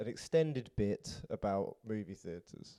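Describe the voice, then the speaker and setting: A man with a British accent speaks at a fairly slow pace. His voice is fairly low-pitched, with a dark, mellow tone. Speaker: podcast host. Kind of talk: casual interview chat.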